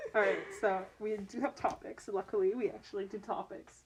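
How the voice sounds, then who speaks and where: With noticeable background noise behind her, a woman speaks at a moderate pace in an American accent. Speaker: podcast co-host. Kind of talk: casual chat.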